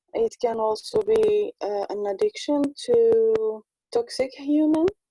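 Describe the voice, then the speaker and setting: A woman speaks very slowly with a non-native accent. The sound is dry and close, with no echo. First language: not English. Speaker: spiritual conversation partner. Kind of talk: casual chat. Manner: halting.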